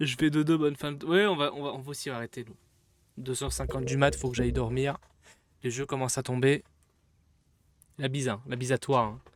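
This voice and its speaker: With long, frequent pauses and big swings in loudness, a man talks at a fairly quick pace, medium in pitch with ordinary pitch variation. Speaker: gaming streamer. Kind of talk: live gameplay stream chat. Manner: animated.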